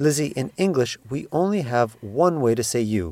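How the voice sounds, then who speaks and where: Very wide pitch swings run through a man's dark, mellow voice with a Canadian accent. The recording is very clean with a silent background. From Canada. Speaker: language teacher, podcast co-host. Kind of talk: language lesson.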